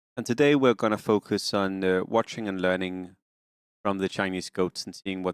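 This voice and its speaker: Moderate pace and fairly even intonation with a slight Danish accent, a dry, close sound with no echo, and a very clean recording with a silent background. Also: man. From Denmark. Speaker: game streamer. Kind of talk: casual live-stream commentary. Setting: live stream.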